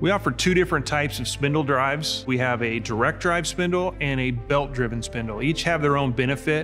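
Over clear background music, a man talks at a fairly quick pace with hardly any pauses and ordinary pitch variation. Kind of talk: interview answer. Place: shop.

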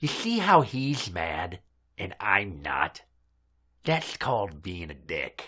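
Raspy and fairly low, a man's put-on character voice creeps along at a very slow pace with long, frequent pauses.

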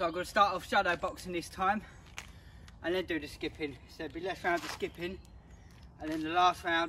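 A man talks at a fairly quick pace, his pitch high and his intonation fairly even. The sound is dry with no echo, over light background noise. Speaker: fitness trainer. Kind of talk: workout tutorial coaching. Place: street. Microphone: camera far.

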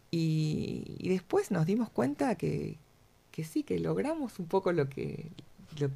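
Someone speaks at a very slow pace with a Uruguayan accent. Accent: Rioplatense Spanish (Uruguayan). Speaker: cancer support group co-founder. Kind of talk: radio interview. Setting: radio studio.

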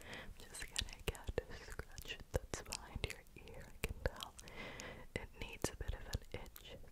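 Whispering is heard. It moves at a fairly slow pace. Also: woman. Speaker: ASMR creator. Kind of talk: ASMR whisper video. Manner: whispered. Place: home room. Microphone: studio mic.

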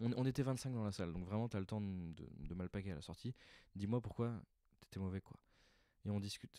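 Against a quiet background, a man delivers a deadpan tone at a fairly quick pace, his fairly low pitch dark and mellow, the sound dry with no echo. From France. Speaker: stand-up comedian. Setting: recording alone at home in the evening. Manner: casual, hesitant, improvised, filler-heavy, deadpan and self-deprecating. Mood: reflective, slightly rueful. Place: home room. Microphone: handheld.

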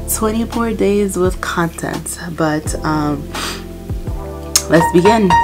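The speech moves at a very slow pace with long, frequent pauses while clear music plays in the background. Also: woman. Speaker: mom vlogger. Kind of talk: casual talk to camera. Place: home room.

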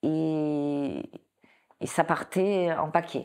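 A woman speaks at a fairly low pitch with fairly even intonation. The background is quiet. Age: 60s. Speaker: breast cancer patient giving testimony; interviewee. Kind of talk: testimony. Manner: halting, with repetitions. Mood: emotional, reflective recollection. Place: home room.

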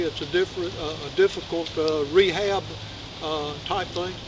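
With noticeable background noise behind him, a man talks at a moderate pace using fairly even intonation. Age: 60s. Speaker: channel host. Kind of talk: casual vlog update. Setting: outdoors in the woods. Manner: halting, with many fillers. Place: forest.

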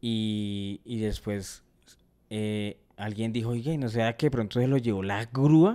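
Dark, mellow tone from a man at medium pitch, fairly slow pace, quiet background. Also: ordinary pitch variation. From Colombia. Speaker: comedy podcast host. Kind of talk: casual chat. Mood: humorous anecdote telling. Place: studio. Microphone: studio mic.

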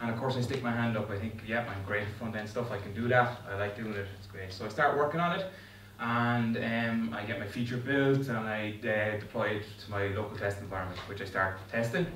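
A man talks at a fairly low pitch with ordinary pitch variation. Room echo is audible, along with light background noise. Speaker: conference speaker. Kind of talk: tech talk. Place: meeting room.

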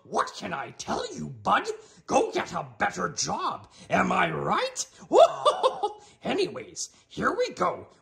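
A man's put-on character voice, playful in tone and fairly slow in pace. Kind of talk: comedy cooking show parody. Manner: inverted word order, playful, comedic.

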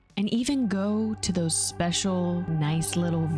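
Over clear music in the background, a woman speaks at a fairly slow pace in a dry sound with no echo. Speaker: content creator. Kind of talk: casual talk to camera. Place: home room. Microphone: studio mic.

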